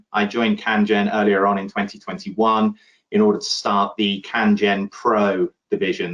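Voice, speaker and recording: A man speaks with a British accent at a fairly low pitch. His pace is moderate and his intonation fairly even. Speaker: insurance underwriter. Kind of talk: conference panel discussion.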